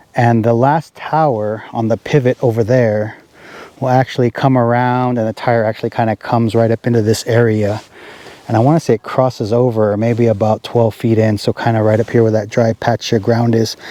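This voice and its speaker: A man with a medium pitch talks at a fairly quick pace in a dark, mellow tone, his loudness very even and his intonation flat, the sound dry and close with no echo. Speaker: hay farmer and vlogger. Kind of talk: casual farm vlog tutorial. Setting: outdoors in a field by a tractor. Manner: loud, talking over machinery.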